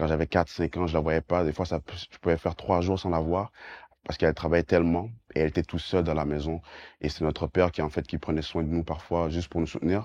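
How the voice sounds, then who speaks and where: A man with a very deep, low pitch and monotone, flat intonation, talking at a very fast pace in a dry, close sound with no echo against a quiet background. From Quebec, Montreal. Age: 20s. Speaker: banker, life coach and evangelist. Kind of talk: testimony. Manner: halting, many fillers and repetitions.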